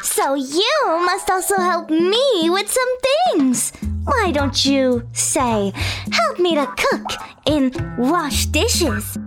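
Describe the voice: A woman uses a put-on character voice pitched extremely high, slow and with big pitch swings and few pauses. Faint music plays in the background.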